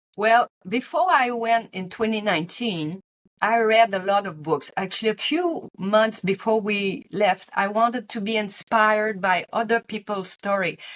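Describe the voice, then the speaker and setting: With a Quebec accent, a woman speaks at a fairly slow pace with hardly any pauses, in a dry, close sound with no echo. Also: fairly high pitch for a woman, ordinary pitch variation. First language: French. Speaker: retired teacher and pilgrim author. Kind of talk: interview.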